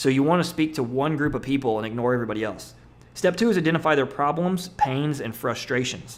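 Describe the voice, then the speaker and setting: A man speaks at a very fast pace. His pitch is fairly high. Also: ordinary pitch variation. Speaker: internet marketer. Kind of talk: webinar presentation. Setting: webinar.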